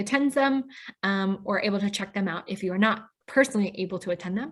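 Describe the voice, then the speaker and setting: Somewhat breathy and at medium pitch, a woman with an American accent talks at a fairly quick pace. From US Midwest, Pontiac, Illinois. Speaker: webinar host. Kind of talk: scripted introduction.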